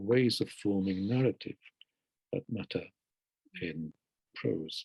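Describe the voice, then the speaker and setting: In a Hungarian accent, a man with a fairly low pitch speaks at a very slow pace with long, frequent pauses. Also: dry, close sound with no echo. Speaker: poet. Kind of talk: interview. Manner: reflective, halting.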